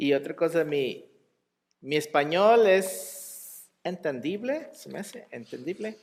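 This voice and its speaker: A man with a high-pitched voice speaks very slowly with lively intonation. His loudness swings widely. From US, El Paso, Texas. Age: 30s. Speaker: lay preacher. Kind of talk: sermon. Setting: church.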